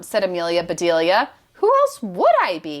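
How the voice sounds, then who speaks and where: A woman puts on a character voice at a medium pitch. She speaks at a moderate pace with ordinary pitch variation. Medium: read story. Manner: earnest, innocent.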